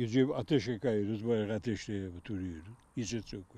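With a dark, mellow tone and ordinary pitch variation, a man talks at a moderate pace in a dry sound with no echo. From Rize, Turkey. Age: 80s+. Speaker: migratory beekeeper. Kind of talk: interview answer. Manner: casual, plain-spoken. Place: open country.

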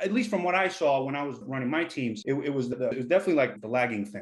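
Very fast speech comes from a man with an American accent. His pitch is fairly high and his intonation lively. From US Northeast, the Bronx, New York City. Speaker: engineer, former big tech engineering leader; podcast host. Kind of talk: casual chat. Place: home room. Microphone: webcam.

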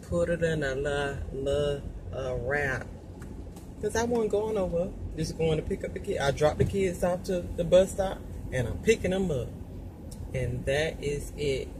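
Amid noticeable background noise, a woman with a very deep, low voice talks at a moderate pace with long, frequent pauses. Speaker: mother vlogger. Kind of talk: casual vlog chat. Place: car. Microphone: phone near.

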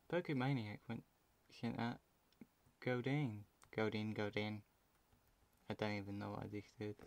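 In a British accent, a man with a fairly low voice speaks with long, frequent pauses. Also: ordinary pitch variation, moderate pace. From UK. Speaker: gaming video creator. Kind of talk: gameplay commentary. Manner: casual, rambling.

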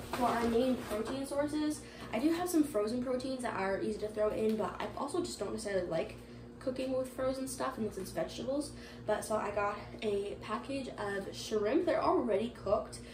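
Noticeable noise runs through the background. Over it, a woman talks fairly briskly. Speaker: lifestyle vlogger. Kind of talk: casual vlog chat. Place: kitchen.

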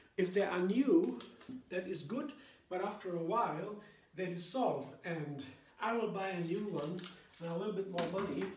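At a moderate pace, a man speaks in a high voice with ordinary pitch variation, light background noise and audible room echo. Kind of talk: cooking tutorial. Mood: cheerful and enthusiastic. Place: kitchen.

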